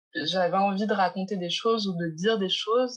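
Her voice at a medium pitch with ordinary variation, a woman speaks at a fairly slow pace. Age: 20s. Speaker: gallery founder. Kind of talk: interview. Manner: halting.

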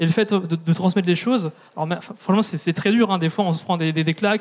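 A man speaks at a fairly quick pace with a high pitch and fairly even intonation. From France, southern Brittany. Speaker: activist. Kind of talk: panel discussion. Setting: stage with audience.

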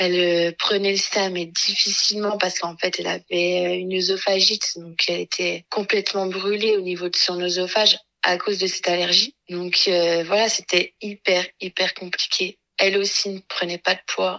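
Her medium-pitched voice stays monotone and flat at a moderate pace, with hardly any pauses. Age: 20s. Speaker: radiology technician and mother of two. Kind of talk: personal testimony.

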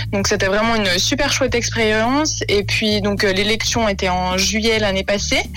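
Noticeable background noise and audible room echo fill the recording. A woman speaks at a fairly slow pace. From Switzerland, canton of Vaud. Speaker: beauty pageant winner. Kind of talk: radio interview. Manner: hesitant with fillers.

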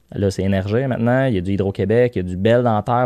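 A man with a Quebec accent at a very fast pace. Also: dry, close sound with no echo. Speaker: company CEO. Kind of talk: interview. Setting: studio.

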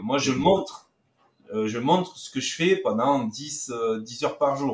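With lively intonation, a man talks at a fairly slow pace in an unremarkable speaking voice. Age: 50s. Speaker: trading instructor. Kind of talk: interview.

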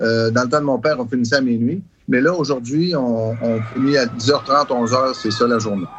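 A man speaks at a medium pitch and moderate pace with ordinary pitch variation, against noticeable background noise. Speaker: travelling carnival owner. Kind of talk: interview recollections.

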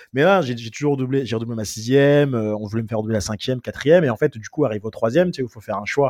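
Delivered at a very fast pace with hardly any pauses, the speech has an animated tone, big swings in loudness and ordinary pitch variation. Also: man, medium pitch for a man. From France, Seine-Saint-Denis (Paris suburbs). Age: 30s. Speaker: entrepreneur. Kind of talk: casual interview.

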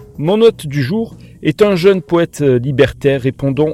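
A dark, mellow tone at a very slow pace. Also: man. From Montpellier, southern France. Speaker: podcast host. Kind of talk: casual chat. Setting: at guest's home.

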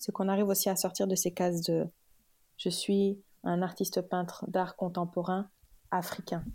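A woman with a dark, mellow tone and a somewhat breathy voice speaks at a medium pitch and a moderate pace, with monotone, flat intonation, very even loudness and long, frequent pauses. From Senegal (Kaolack, Dakar). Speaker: communications manager. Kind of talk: casual interview.

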